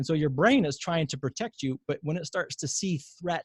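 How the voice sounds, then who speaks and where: A somewhat breathy male voice with ordinary pitch variation, recorded dry and close with no echo. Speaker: physician and pain science educator. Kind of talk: webinar lecture. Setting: online webinar. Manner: fast.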